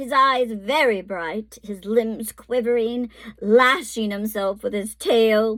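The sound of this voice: An unforced reading voice holds its intonation fairly even.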